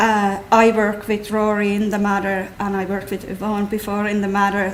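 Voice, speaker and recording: There is noticeable background noise as a woman speaks. Her pitch is medium and her intonation is flat and monotone. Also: moderate pace. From Finland. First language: Finnish. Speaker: clinical nurse specialist. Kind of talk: talk to patient audience.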